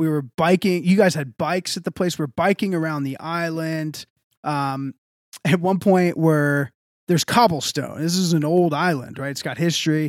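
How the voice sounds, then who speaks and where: A man with an American accent speaks in a normal speaking voice at a fairly high pitch. The sound is dry and close with no echo, and his moderate pace carries fairly even intonation. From Texas. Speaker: podcast co-host. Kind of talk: casual chat.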